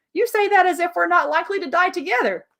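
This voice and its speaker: A squeaky, put-on character voice rattles along at a very fast pace. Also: woman, extremely high pitch for a woman. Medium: read story. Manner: flippant, carefree.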